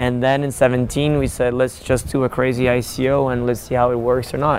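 Fairly brisk pace and medium pitch from a man, amid noticeable background noise. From Persian-Swiss background. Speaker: crypto company founder. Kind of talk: interview. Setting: outdoors, walking.

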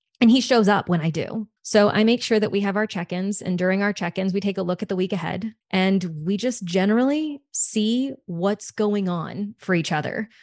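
A woman speaks in a normal speaking voice, medium in pitch, with an American accent and ordinary pitch variation. Her pace is moderate, and the sound is dry and close with no echo. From US South, Louisiana. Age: 30s. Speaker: sex coach. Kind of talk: casual interview chat.

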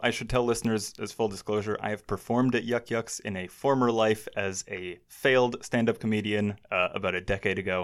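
In a very clean recording with a silent background, a man with a Canadian accent talks at a moderate pace in a fairly low pitch. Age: 30s. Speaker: podcast host. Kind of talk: casual chat.

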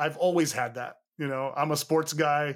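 Recorded very clean against a silent background, a man with an American accent has a plain, everyday voice, fairly high pitch, and ordinary pitch variation. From US West Coast, East Bay, California. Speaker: tech company founder and CEO. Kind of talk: casual interview.

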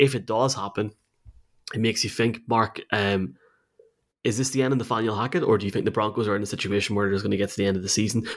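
Very fast speech with a Northern Irish accent and fairly even intonation. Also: man, fairly low pitch for a man. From Tyrone, Northern Ireland. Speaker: podcast host. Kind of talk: casual sports preview chat.

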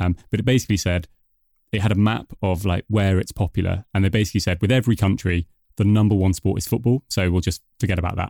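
Speaking at a very fast pace, a man with a British accent has a fairly low pitch, ordinary pitch variation and a dark, mellow tone. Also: very clean recording, silent background. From UK. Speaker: podcast host. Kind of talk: podcast discussion.

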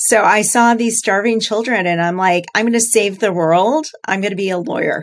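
Speaking at a moderate pace with hardly any pauses, a woman uses an ordinary speaking voice. Her pitch varies in an ordinary way. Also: fairly high pitch for a woman. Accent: American. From US Midwest, central Illinois. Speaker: startup founder and CEO. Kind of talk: interview.

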